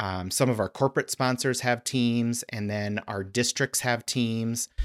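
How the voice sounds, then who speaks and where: With an American accent, a man uses a normal speaking voice at medium pitch, a moderate pace and ordinary pitch variation. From Arizona. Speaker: dental hygiene association leader. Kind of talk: interview.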